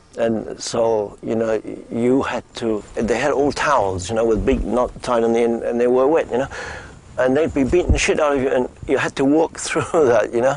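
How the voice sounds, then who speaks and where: At a moderate pace, a man talks at a medium pitch with ordinary pitch variation. Noticeable background noise sits under his voice. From Germany (Stettin). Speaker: busker. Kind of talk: interview testimony.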